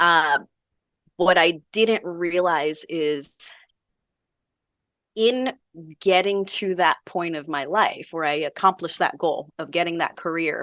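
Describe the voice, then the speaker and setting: With long, frequent pauses, a woman of fairly low pitch talks with ordinary pitch variation against a quiet background. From New York City, Manhattan. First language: Spanish. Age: 40s. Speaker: bodybuilding competitor and veterinarian. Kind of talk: podcast interview. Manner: animated.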